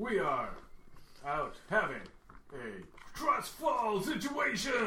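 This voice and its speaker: A man puts on a character voice and speaks at a very slow pace. Clear background noise and a slight echo are present. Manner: cocky, distracted.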